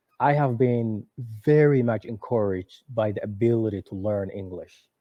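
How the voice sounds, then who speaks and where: Speaking at a moderate pace, a man with a Somali accent uses a medium pitch and ordinary pitch variation. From Somalia, Mogadishu. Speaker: author and former refugee. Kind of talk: interview. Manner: halting, with many repetitions.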